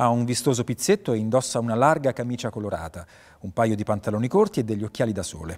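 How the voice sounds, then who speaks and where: The pace of this man's speech is very fast. Pitch moves up and down in an ordinary way. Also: quiet background. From Italy. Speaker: actor and voice actor (dubbing). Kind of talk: short-film script reading, narrating scene directions and playing all characters. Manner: neutral narration of scene directions. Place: stage.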